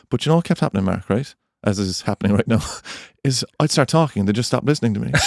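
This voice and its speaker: A man with an Irish accent at a medium pitch, very fast pace and lively intonation, his sound dry and close with no echo, on a very clean recording with a silent background. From Ireland. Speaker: podcast co-host. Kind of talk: casual chat.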